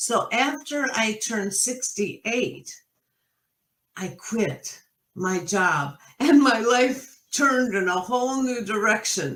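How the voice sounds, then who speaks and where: Her pitch fairly high and her intonation lively, a woman speaks at a very slow pace. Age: 70s. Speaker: retired professor turned entrepreneur. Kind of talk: interview. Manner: halting, many fillers.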